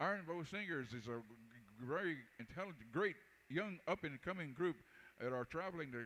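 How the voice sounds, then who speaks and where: A man talks fairly quickly in an ordinary speaking voice. His pitch is fairly high and his intonation lively. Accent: American. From Texas. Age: 60s. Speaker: powwow announcer and singer. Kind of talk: live event announcing.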